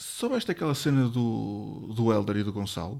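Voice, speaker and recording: The speaker uses lively intonation on a very clean recording with a silent background. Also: man. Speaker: podcast co-host. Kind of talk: casual chat. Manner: halting, many repetitions.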